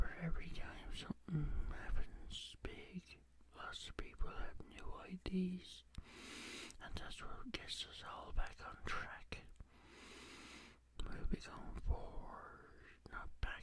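A man whispers in a gentle tone at a very slow pace, with long, frequent pauses. His loudness swings widely. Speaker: ASMR creator. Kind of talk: casual talk to camera, ASMR whispering. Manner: gentle, soft-spoken. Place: home room. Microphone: studio mic.

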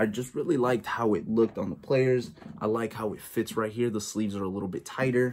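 A man talks at a fairly quick pace. He has a normal speaking voice with fairly even intonation. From United States, born in El Salvador. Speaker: sports YouTuber. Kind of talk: casual vlog show-and-tell. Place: home room. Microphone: phone near.

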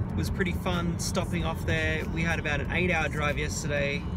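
A man speaks at a moderate pace with loud background noise, the sound dry and free of echo. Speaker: vlogger. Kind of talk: casual vlog chat. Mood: relaxed, chatty. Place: car. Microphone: phone near.

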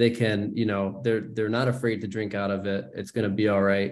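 Over a quiet background, a man speaks at a fairly low pitch. His pace is fairly quick and his intonation monotone and flat. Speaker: gallery director and curator; host of gallery artist talk. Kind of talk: online panel discussion. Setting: video call. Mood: friendly, relaxed. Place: home room. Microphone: video call.

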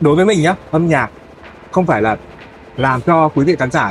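Music plays in the background as a man speaks with lively intonation, the sound dry with no echo. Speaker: singer. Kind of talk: interview answer. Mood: relaxed, friendly, animated. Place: studio.

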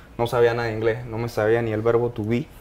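A man talks at medium pitch. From Panama, Los Uveros de Penonomé; Panama. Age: 30s. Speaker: mining engineer; guest. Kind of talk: interview testimony. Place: studio. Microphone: lapel.

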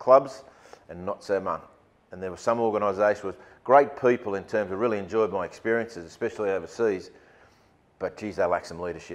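With an Australian accent, a man talks at a fairly quick pace in a fairly low pitch, with ordinary pitch variation and big swings in loudness. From Sydney, Australia. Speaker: rugby league football director. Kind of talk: keynote talk to business audience. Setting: stage with audience. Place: meeting room.

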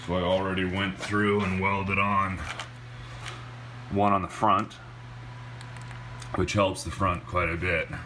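Noticeable background noise sits under a man's very deep, low voice. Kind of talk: casual vlog chat. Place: garage. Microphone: phone near.

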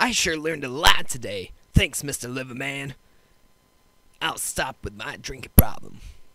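Long, frequent pauses break up a man's cartoonish character voice, delivered at a medium pitch and a moderate pace. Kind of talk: comic overacting. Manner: rowdy, excited.

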